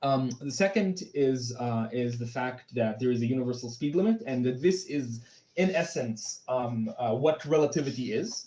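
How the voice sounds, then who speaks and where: A man's medium-pitched, somewhat breathy voice with a dark, mellow tone and ordinary pitch variation, plus audible room echo. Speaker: conference speaker presenting physics talk. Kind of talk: lecture. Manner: fast; halting, many fillers.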